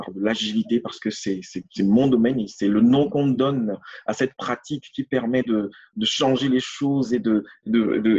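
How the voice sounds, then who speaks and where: Ordinary pitch variation accompanies a moderate speaking pace. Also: man. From France. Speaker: agile coach. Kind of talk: interview. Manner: halting, many repetitions and fillers.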